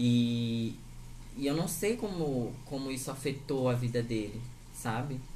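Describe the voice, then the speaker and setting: A man's dark, mellow voice sits at a medium pitch, somewhat breathy, with ordinary pitch variation. He talks at a fairly slow pace, and room echo is audible. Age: 20s. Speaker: podcast host. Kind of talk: casual chat.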